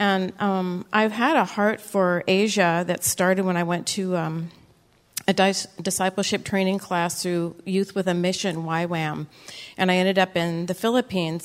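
Here is a woman with an unremarkable speaking voice at a medium pitch. She talks at a moderate pace. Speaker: church member giving testimony. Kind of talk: testimony. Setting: church.

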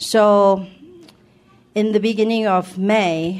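Very slow, fairly even-toned speech from a woman. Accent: Thai. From Thailand. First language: Thai. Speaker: church member giving testimony. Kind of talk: testimony. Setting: church.

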